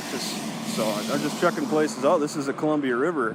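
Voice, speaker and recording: Noticeable background noise sits under a voice moving at a fairly quick pace. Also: man. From US Midwest, Wisconsin. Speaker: citizen filming an encounter with police. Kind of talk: casual conversation with police officer. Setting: outdoors on a public street. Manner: halting, many repetitions.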